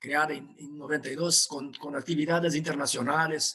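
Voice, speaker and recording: Speaking in a Portuguese accent, a man with a fairly high pitch keeps a moderate pace and a monotone, flat intonation. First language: Portuguese (speaking Spanish). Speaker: professor. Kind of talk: webinar presentation. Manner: halting.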